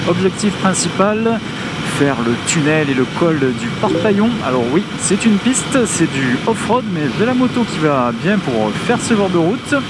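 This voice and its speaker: A fairly slow pace over loud background noise, with a dry sound and no echo. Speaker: motorcycle vlogger. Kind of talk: casual vlog chat. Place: motorbike.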